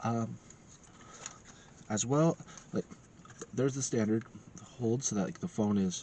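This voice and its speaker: A man's medium-pitched voice with long, frequent pauses and noticeable background noise. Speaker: tech reviewer. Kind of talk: product review. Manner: halting, many fillers.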